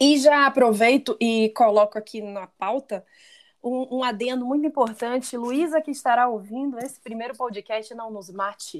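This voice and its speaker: A woman speaks with a high pitch and big swings in loudness. The recording is very clean, with a silent background. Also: ordinary pitch variation, moderate pace. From Pará, Brazil. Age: 30s. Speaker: podcast co-host, marketer. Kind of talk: casual chat.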